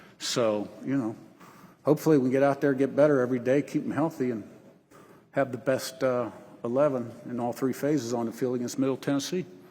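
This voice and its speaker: Rushing along at a very fast pace, a man speaks with ordinary pitch variation. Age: 60s. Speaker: college football head coach. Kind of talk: press conference Q&A. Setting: media day podium with audience.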